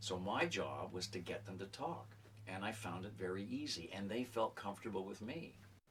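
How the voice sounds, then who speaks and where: A man with a plain, everyday voice talks at a moderate pace, fairly low in pitch, with ordinary pitch variation. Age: 60s. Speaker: writer and retired journalism professor. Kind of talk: interview testimony.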